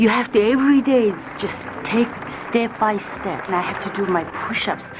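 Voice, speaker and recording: With music in the background, a woman talks at a moderate pace using ordinary pitch variation. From Mongolia. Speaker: contortionist. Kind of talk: documentary interview. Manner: hesitant, with fillers.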